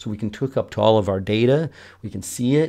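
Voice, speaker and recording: Fairly quick delivery from a man, medium in pitch, with a dark, mellow tone. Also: quiet background. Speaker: software developer and course instructor. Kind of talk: screencast tutorial. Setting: home screen recording. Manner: casual, many filler words and restarts.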